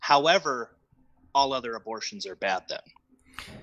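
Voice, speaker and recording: With an American accent, a man speaks at a fairly high pitch with vocal fry, in a dry, close sound with no echo. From US Midwest, Wisconsin. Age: 30s. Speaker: pro-life advocate. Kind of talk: casual debate interview.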